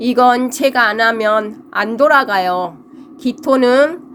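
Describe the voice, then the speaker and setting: Speaking very slowly, a woman uses a high pitch with ordinary pitch variation. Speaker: fortune teller. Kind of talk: lecture. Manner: halting.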